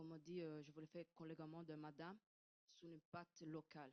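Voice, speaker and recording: The woman's voice sits at a fairly low pitch. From Italy. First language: Italian (speaking French). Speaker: audience member asking a question. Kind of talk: audience question at conference. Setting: conference room. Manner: halting, searching for words.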